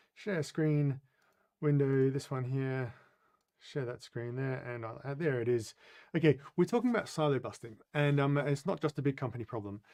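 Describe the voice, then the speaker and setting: The voice has a dark, mellow tone and an Australian accent. It moves at a moderate pace. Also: man, medium pitch for a man, ordinary pitch variation. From Australia, Adelaide. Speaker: business consultant and coach. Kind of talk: webinar presentation. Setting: live online webinar. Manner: halting, many fillers.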